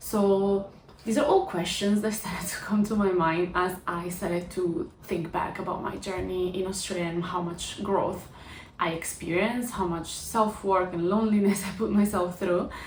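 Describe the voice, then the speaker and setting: In an Italian accent, a woman speaks at a medium pitch. Noticeable background noise and audible room echo accompany her. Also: fairly even intonation, moderate pace. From Italy. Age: 20s. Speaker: vlogger. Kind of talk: personal vlog.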